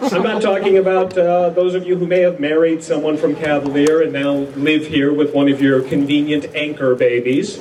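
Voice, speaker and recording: Over noticeable background noise, a man with an American accent and a fairly high pitch speaks at a moderate pace. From North Dakota, USA. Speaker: comedian, former radio disc jockey, TV writer. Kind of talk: humorous reunion speech.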